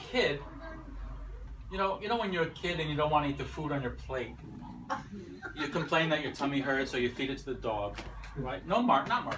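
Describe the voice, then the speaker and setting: A man with an American accent speaks at a fairly high pitch, leaving long, frequent pauses. Audible room echo and noticeable background noise come through. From United States. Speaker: wedding speech giver. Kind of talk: wedding toast. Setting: wedding reception with audience. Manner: halting, reading from notes.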